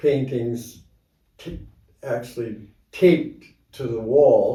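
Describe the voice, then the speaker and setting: A somewhat breathy man's voice, fairly high in pitch with a dark, mellow tone. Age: 80s+. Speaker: amateur artist. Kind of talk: interview answer.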